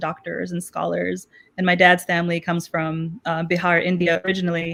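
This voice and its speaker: A woman with a Pakistani accent speaks at a fairly quick pace in a fairly low, monotone voice with flat intonation. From Chicago, US (born in Pakistan). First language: Urdu. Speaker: math educator. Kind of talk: interview.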